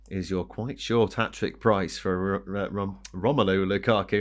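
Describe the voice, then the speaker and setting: On a very clean recording with a silent background, a man speaks in an ordinary speaking voice, pitched fairly low, at a fairly slow pace. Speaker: podcast host. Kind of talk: sports betting preview discussion.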